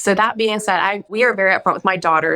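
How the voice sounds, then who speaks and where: A woman speaks at a medium pitch with a bright, sharp tone. Her pitch varies in an ordinary way. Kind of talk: radio interview. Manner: fast.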